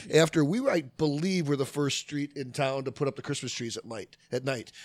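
A man talks fairly quickly in an American accent, with noticeable background noise behind him. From Chicago area, Oak Park. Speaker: neighborhood association member. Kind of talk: casual chat.

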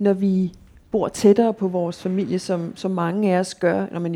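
The natural reading voice keeps a fairly even intonation.

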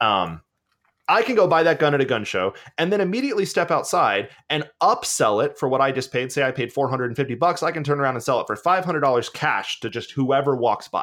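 An ordinary speaking voice with lively intonation, delivered at a moderate pace. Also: man, fairly high pitch for a man, very clean recording, silent background. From US South, Georgia. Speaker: teacher and podcaster. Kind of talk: casual interview conversation.

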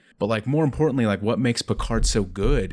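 A man with an American accent speaks in a plain, everyday voice. His medium pitch has ordinary variation, on a very clean recording with a silent background. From Ohio. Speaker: library IT administrator. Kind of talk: casual chat.

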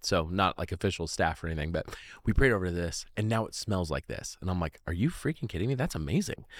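Speaking very fast with an American accent, a man has a very deep, low pitch. The recording is very clean, with a silent background. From Oregon, US. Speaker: faith testimony guest. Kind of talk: testimony. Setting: old church building.

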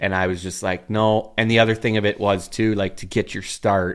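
In a Canadian accent, a man with a fairly low pitch speaks in a monotone, flat way at a moderate pace, on a very clean recording with a silent background. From Ontario, Canada (Uxbridge). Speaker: farmer. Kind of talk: casual chat.

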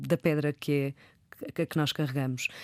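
A woman's dark, mellow voice with ordinary pitch variation, in a dry, close sound with no echo. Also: very clean recording, silent background. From Porto, northern Portugal. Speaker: poet and journalist. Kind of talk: interview conversation.

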